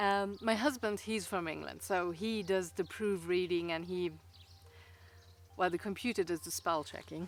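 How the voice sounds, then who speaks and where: A woman speaks with a non-native accent at a moderate pace. Her pitch sits fairly low. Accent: noticeable foreign. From Luxembourg. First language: Luxembourgish. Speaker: writer and video blogger. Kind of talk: casual chat. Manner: halting, many fillers.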